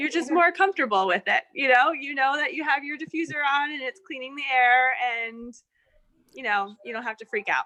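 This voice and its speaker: A woman with a high pitch talks at a fairly quick pace in a raised, projected voice, her tone bright and sharp and her intonation lively. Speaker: essential oils presenter. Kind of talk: online group presentation.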